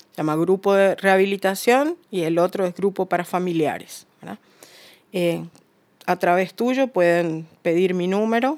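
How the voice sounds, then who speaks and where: A woman speaks at a fairly slow pace in a normal speaking voice. Her medium pitch varies in an ordinary way. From Uruguay. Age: 50s. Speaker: recovered addict sharing her story. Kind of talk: testimony.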